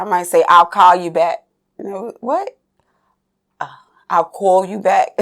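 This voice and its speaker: A woman's medium-pitched voice with a slight New York accent, fairly even intonation, fairly slow pace, long, frequent pauses and big swings in loudness. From New York City, Staten Island. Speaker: dancer. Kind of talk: interview.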